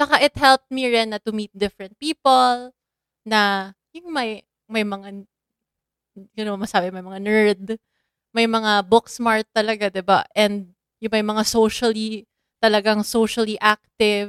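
Fairly even intonation and big swings in loudness in a Filipino accent, at a moderate pace, the sound dry and close with no echo. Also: woman, fairly high pitch for a woman. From Philippines, Davao. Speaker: podcast co-host. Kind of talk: casual chat. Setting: sharing one mic at home.

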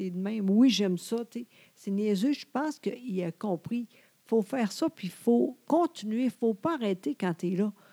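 In a dry, close sound with no echo, a woman with a Quebec accent and a fairly high pitch uses lively intonation and big swings in loudness. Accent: Québécois French. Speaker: podcast co-host. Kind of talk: casual chat. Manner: trying to speak slowly, sometimes halting.

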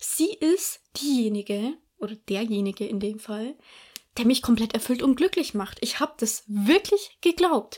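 Fairly slow and fairly high-pitched, a woman speaks with very wide pitch swings. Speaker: podcast host. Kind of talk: casual monologue. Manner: conversational, repetitive emphasis.

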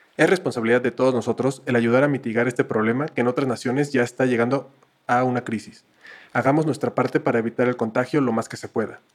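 This man talks at a very fast pace in a medium pitch, his intonation fairly even. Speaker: podcast co-host. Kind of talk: scripted announcement; casual chat. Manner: formal.

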